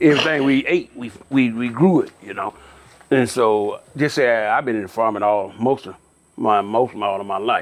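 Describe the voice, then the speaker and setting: A man with an Alabama accent speaks at a moderate pace in a medium pitch. His loudness swings widely, while his pitch varies in an ordinary way. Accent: US Southern (Alabama). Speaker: farmers cooperative president. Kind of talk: interview. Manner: halting.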